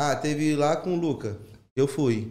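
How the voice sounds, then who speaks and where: A man's dark, mellow tone comes through with audible room echo. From Rio de Janeiro (São Cristóvão). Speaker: former teacher turned stand-up comedian. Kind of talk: casual chat.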